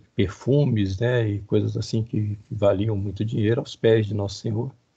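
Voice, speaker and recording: This man's voice is somewhat breathy. His pitch sits fairly low. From Rio de Janeiro, Brazil. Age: 50s. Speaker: professor. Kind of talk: lecture. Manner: halting.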